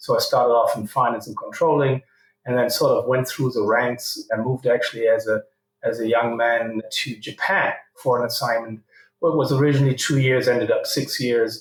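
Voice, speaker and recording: Here a man speaks in a German accent. He keeps a moderate pace. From Germany. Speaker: company CEO. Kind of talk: interview.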